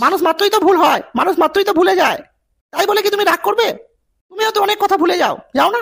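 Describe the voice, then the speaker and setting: At a very fast pace, a cartoonish character voice chatters with extremely high pitch. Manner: calm, coaxing.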